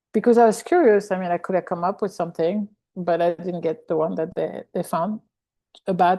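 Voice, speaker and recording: Against a quiet background, a speaker with a French accent and a dark, mellow tone talks at a fairly quick pace with ordinary pitch variation. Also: woman. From French-speaking country. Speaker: workshop participant. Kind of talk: casual sharing. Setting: video call.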